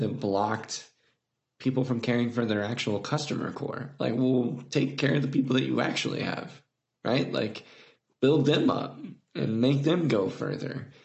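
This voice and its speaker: With an American accent, the speaker talks at a moderate pace with ordinary pitch variation, and room echo is audible. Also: man. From Indiana, US Midwest. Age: 30s. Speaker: footwear designer. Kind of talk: casual chat.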